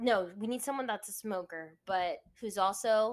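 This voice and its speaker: On a very clean recording with a silent background, a woman with an American accent speaks at a fairly slow pace in an animated tone with ordinary pitch variation. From US, Virginia Beach, Virginia. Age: 20s. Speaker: podcast co-host. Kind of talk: casual chat.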